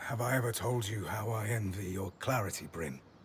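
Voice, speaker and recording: Over clear background noise, a man uses a raspy, put-on character voice at a fairly low pitch and a moderate pace. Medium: video game. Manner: hesitant, stammering.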